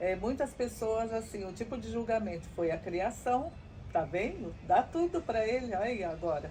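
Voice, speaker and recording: Her tone dark and mellow, a woman speaks with vocal fry. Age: 60s. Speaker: mother of a former prisoner. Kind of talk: testimony. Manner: halting, with many fillers.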